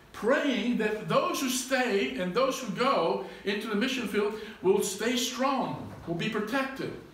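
A man's high-pitched, very slow speech with audible room echo. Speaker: pastor. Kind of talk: sermon. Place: church. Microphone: camera far.

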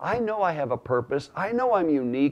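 The background stays quiet. A man speaks at a fairly quick pace. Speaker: religious teacher. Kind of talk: teaching talk to camera. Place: home room. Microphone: lapel.

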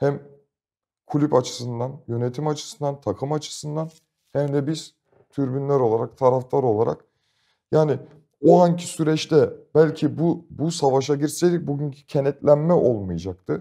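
Over a quiet background, a man with a fairly high pitch and a dark, mellow tone talks at a moderate pace. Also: ordinary pitch variation. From Istanbul, Turkey; Turkey. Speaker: football fan group leader; guest. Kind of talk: casual interview chat. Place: studio. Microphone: lapel.

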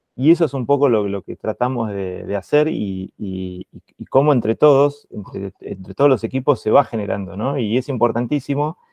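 A man's dark, mellow voice at medium pitch, moderately paced with hardly any pauses, big swings in loudness and ordinary pitch variation, dry with no echo over a quiet background. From Argentina. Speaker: meeting moderator. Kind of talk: online meeting moderation. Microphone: earbuds.

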